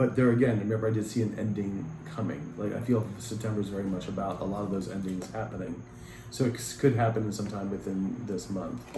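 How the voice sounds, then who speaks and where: Through audible room echo, a man with a fairly low pitch talks at a very fast pace with ordinary pitch variation. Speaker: tarot reader. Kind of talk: tarot reading.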